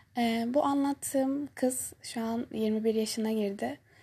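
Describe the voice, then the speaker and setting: A woman speaks with a high pitch and a dark, mellow tone. Her intonation is fairly even. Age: 20s. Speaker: university student and podcast host. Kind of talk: solo monologue, personal storytelling. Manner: hesitant, many filler sounds.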